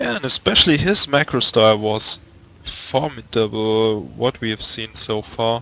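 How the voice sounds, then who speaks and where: A man with a German accent speaks at a moderate pace with ordinary pitch variation. Noticeable background noise is present. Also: medium pitch for a man. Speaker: esports commentator. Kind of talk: live commentary.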